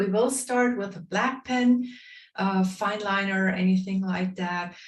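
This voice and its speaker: A woman speaks in a somewhat breathy voice at a fairly slow pace with fairly even intonation and audible room echo. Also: medium pitch for a woman. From Bavaria, Germany. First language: German (Bavarian dialect). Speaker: drawing instructor. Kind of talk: online workshop instruction. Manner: hesitant, many fillers.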